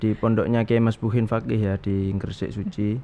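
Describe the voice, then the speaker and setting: Here a man is speaking. The pitch of his voice is medium. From East Java, Pasuruan. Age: 20s. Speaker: young Islamic cleric. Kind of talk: talk show interview.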